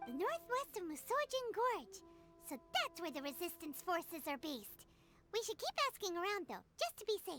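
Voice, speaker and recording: A put-on character voice at an extremely high pitch speaks at a moderate pace. Faint music plays in the background. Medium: video game. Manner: excitable, chatty.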